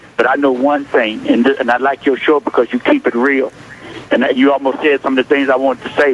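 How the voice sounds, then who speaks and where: A man speaks at a fairly high pitch with fairly even intonation. The sound is dry and close with no echo, though there is noticeable background noise. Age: 60s. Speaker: caller, pastor. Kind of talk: impassioned call-in comment. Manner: halting, repeating words.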